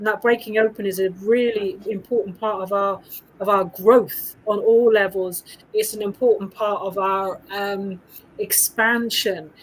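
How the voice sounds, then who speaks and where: A woman talks with a British accent at a medium pitch. Her pace is fairly slow and her intonation monotone and flat. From UK. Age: 50s. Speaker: women's coach. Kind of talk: casual chat.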